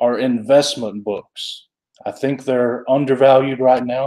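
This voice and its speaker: In an Alabama accent, a man speaks at a fairly slow pace and medium pitch, his tone dark and mellow and his intonation monotone and flat. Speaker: comic book collector youtuber. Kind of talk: live stream chat. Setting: live stream. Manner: casual, halting.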